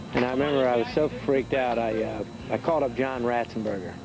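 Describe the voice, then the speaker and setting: Noticeable background noise sits under a man's fairly even intonation, the sound dry with no echo. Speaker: actor interviewed. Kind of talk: interview answer. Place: studio.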